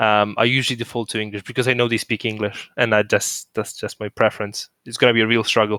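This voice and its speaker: In a very clean recording with a silent background and a dry, close sound with no echo, a man with a Polish accent speaks very fast with hardly any pauses, at medium pitch with a bright, sharp tone and monotone, flat intonation. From Poland. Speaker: podcast host. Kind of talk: casual chat.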